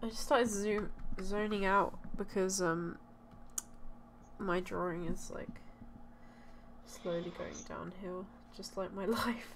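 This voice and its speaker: A woman talks at a very slow pace with fairly even intonation. Long, frequent pauses break her speech, and the room echo is audible. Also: medium pitch for a woman. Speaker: digital artist streamer. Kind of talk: casual chat. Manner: monotone.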